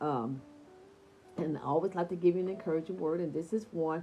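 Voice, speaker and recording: Fairly low in pitch, a woman's voice carries a dark, mellow and warm tone. She speaks at a fairly quick pace. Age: 60s. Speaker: online devotional host. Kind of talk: devotional talk. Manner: warm, conversational.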